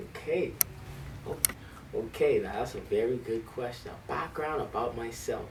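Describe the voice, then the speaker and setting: In a Bahamian accent, the speaker talks at a moderate pace. Audible room echo surrounds the voice. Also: man. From Bahamas. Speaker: high school band director. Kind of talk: interview. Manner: hesitant, many fillers.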